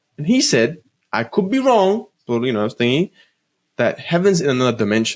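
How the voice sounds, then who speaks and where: This man has a fairly high pitch and very wide pitch swings. He talks at a fairly quick pace, yet takes long, frequent pauses. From India, Punjab region. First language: Punjabi. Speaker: podcast co-host. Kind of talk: casual chat. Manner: halting.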